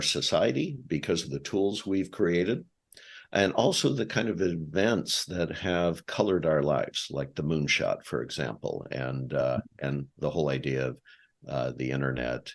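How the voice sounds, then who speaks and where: Speaking at a fairly slow pace with an American accent, a man uses a very deep, low pitch, lively intonation and vocal fry. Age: 60s. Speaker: podcast host. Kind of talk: interview.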